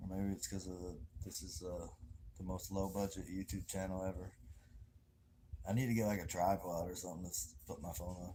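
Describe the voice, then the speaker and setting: A man's very deep, low voice with a dark, mellow tone, fairly even intonation and long, frequent pauses. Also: fairly quick pace. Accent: Southern US. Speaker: livestreamer. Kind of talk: casual livestream chat. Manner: casual, rambling with fillers; quiet, talking low.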